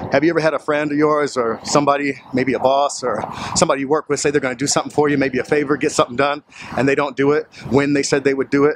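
Very fast and monotone, with flat intonation, the speaker has an American accent, heard in a dry sound with no echo over light background noise. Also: man. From Portland, Oregon; Oregon. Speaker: motivational vlogger. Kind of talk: motivational talk to camera. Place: street. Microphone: phone near.

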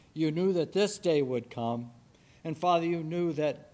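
This man's voice has a fairly high pitch, a dark, mellow tone and ordinary pitch variation. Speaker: church member leading prayer. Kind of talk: prayer. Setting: church. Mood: warm, earnest. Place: church. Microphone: podium.

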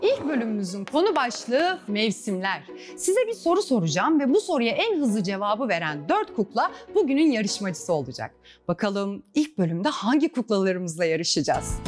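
A woman at a moderate pace with faint music in the background. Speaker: quiz show host. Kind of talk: children's TV presenting. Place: studio. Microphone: lapel.

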